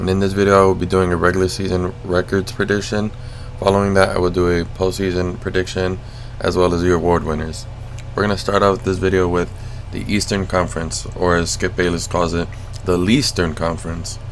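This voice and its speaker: A man with a very deep, low pitch, fairly even intonation and a fairly quick pace over noticeable background noise. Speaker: sports video creator. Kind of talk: casual commentary over gameplay. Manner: monotonous.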